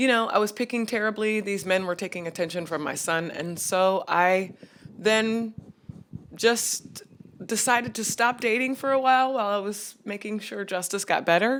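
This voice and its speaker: At a moderate pace, a woman speaks with medium pitch and ordinary pitch variation. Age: 40s. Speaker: podcast guest. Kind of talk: casual chat.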